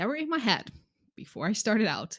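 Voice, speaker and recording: A woman speaks with a Dutch accent and lively intonation. The recording is very clean, with a silent background. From Netherlands. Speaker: podcast host, coach. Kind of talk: solo podcast monologue. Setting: boyfriend's home office. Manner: hesitant, frequent repetitions.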